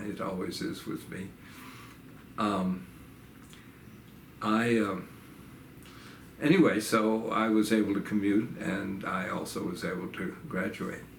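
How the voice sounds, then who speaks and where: A man with an American accent, a fairly low pitch and lively intonation, at a fairly slow pace with long, frequent pauses, with audible room echo. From New York (upstate, Staten Island). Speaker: retired professor. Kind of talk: oral history interview. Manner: halting, many fillers.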